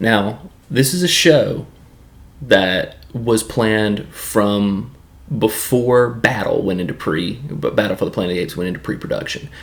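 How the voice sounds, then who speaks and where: A man's medium-pitched voice with a Southern accent, lively intonation and a moderate pace. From US South, Tennessee. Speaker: YouTube film and TV reviewer. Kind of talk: casual solo review monologue. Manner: casual, with frequent filler words.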